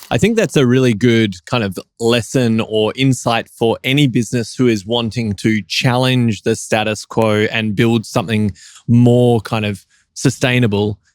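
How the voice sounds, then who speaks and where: An unremarkable speaking voice from a man at medium pitch, moderate in pace with fairly even intonation, in a dry, close sound with no echo. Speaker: coffee competition judge and podcast host. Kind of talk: podcast interview host talk.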